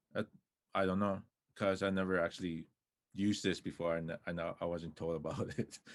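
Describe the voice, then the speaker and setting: A man with a Canadian accent and a very deep, low pitch speaks at a fairly quick pace in a flat monotone, with long, frequent pauses. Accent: Stoney-accented English. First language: Stoney. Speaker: filmmaker, club co-founder. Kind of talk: presentation.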